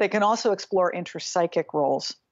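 A woman's voice at medium pitch and a fairly quick pace, an ordinary speaking voice. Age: 50s. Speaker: psychotherapist and psychodrama trainer. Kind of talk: interview. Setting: video call.

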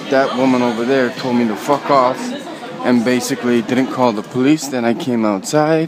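Over crowd noise in the background, a man talks at a moderate pace. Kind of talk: agitated walking vlog commentary. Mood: agitated, accusatory. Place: station. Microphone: phone near.

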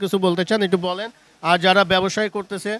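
A man is speaking. His delivery has a monotone, flat intonation. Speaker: video reporter. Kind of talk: street interview and presenting.

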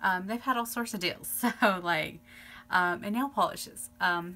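With music in the background, a woman speaks at a moderate pace, her pitch varying in an ordinary way. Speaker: beauty vlogger. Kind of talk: casual vlog chat. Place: home room. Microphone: phone near.

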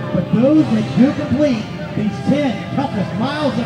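A man at a moderate pace over clear background music. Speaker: race announcer. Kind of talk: pre-race pep speech. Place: open country.

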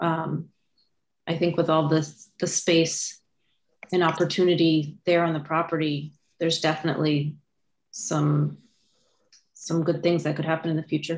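Over light background noise, a woman speaks with a fairly low pitch. Her intonation is monotone and flat. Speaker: committee member. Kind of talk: public meeting discussion. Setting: video call. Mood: conversational, mildly surprised. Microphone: video call.

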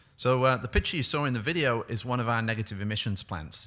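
A man's bright, sharp voice with ordinary pitch variation. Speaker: clean energy executive. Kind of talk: conference presentation. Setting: stage with audience. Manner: fast. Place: stage. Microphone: podium.

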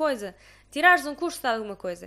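The speaker is a woman with a European Portuguese accent. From Portugal. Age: 20s. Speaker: podcast host. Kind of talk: casual chat. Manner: animated. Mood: relaxed, reflective. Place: home room. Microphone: studio mic.

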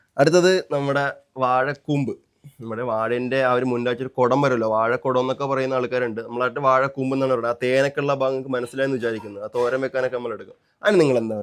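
The speaker uses an ordinary speaking voice with fairly even intonation. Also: man, medium pitch for a man. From Kerala, Kollam (Thiruvananthapuram-Kollam border). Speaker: family vlogger. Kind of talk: casual chat. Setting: outdoors.

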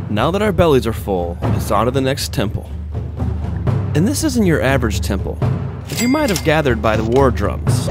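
A man at a moderate pace, dry with no echo, music in the background. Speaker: travel show host. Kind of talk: travel narration.

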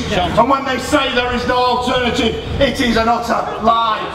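A man talks at a fairly slow pace amid noticeable background noise and audible room echo. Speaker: trade union leader. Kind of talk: rally speech. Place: stage.

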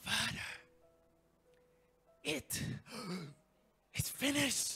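A raspy, put-on character voice is heard over faint music in the background. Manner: breathless, dying.

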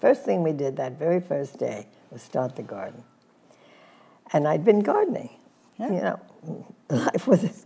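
Very wide pitch swings and big swings in loudness at a moderate pace. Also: woman, fairly low pitch for a woman. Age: 80s+. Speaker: fitness and spa pioneer; interview guest. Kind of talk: interview answer. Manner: reminiscing, casual. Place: studio. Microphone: lapel.

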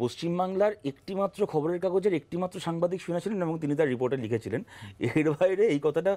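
A man's high-pitched voice, dark and mellow in tone, with ordinary pitch variation. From West Bengal, India. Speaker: politician. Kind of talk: televised political debate. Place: studio.

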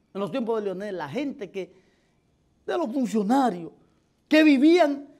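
With a Dominican accent, a man speaks in an animated tone with lively intonation over light background noise. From Dominican Republic. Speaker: political commentator. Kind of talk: opinion commentary. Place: studio. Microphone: lapel.

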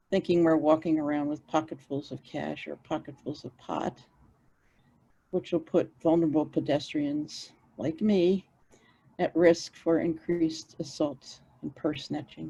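A woman with a very deep, low pitch and a dark, mellow tone speaks at a fairly slow pace. Her intonation is fairly even, while her loudness swings widely. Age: 70s. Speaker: neighborhood resident giving public testimony. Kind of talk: public testimony. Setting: virtual meeting.

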